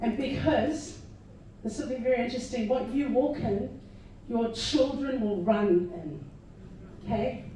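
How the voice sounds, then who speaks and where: A woman's fairly high voice with lively intonation, a fairly slow pace and long, frequent pauses, amid noticeable background noise and audible room echo. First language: not English. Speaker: party candidate / political speaker. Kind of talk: political rally speech.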